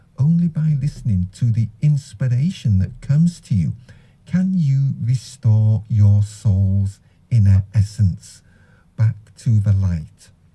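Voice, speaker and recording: A man's fairly low, dark, mellow and somewhat breathy voice moves at a very slow pace with lively intonation and very even loudness. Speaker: Islamic radio presenter. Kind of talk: religious talk on the Quran.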